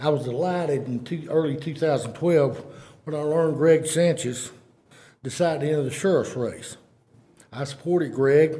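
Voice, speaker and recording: In a room with audible echo, a man with an East Texas accent speaks at a moderate pace with fairly even intonation in a dark, mellow, somewhat breathy voice. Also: fairly high pitch for a man. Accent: East Texas Southern US. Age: 60s. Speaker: private citizen speaking at public meeting. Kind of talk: public comment at county meeting. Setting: county commissioners court meeting. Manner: formal.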